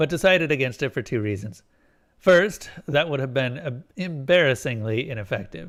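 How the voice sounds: Lively intonation in a natural reading voice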